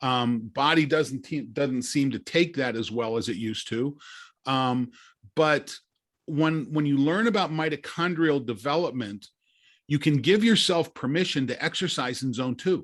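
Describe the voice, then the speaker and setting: With a normal speaking voice, a man speaks at a moderate pace, his pitch fairly high and its variation ordinary, on a very clean recording with a silent background. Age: 60s. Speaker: longevity science company director. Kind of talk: podcast interview.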